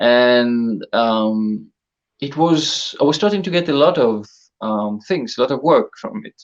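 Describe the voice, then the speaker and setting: A man with an ordinary speaking voice talks fairly slowly at a medium pitch, his intonation lively. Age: 30s. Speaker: full-time cosplayer. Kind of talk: casual chat.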